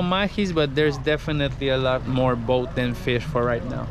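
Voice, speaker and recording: A man talks while noticeable background noise carries on behind him. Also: dry sound with no echo. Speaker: fishing guide. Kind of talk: casual vlog chat. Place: boat. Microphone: phone near.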